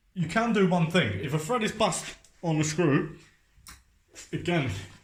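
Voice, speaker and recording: A man is speaking. The room echo is audible. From North East London, England. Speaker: painter and decorator. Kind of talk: tutorial. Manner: casual, chatty.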